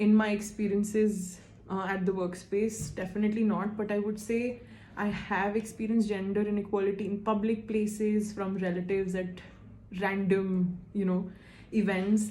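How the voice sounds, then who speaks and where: A woman speaks at a moderate pace in a medium pitch, her tone dark and mellow and somewhat breathy. Her intonation is monotone and flat, with audible room echo. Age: 20s. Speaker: survey respondent, admissions consultant. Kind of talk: interview answers to a questionnaire. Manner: hesitant, with fillers.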